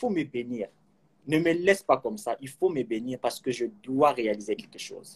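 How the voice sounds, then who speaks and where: This man has an ordinary speaking voice, pitched fairly high, with lively intonation at a moderate pace. The sound is dry and close, with no echo. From Kinshasa, DR Congo. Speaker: accountant and film enthusiast. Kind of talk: interview.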